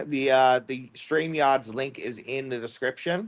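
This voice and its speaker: A man speaks in an Australian accent at a medium pitch and a moderate pace. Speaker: debate livestream host. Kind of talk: casual livestream chat. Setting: live stream on StreamYard. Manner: casual, filler-heavy.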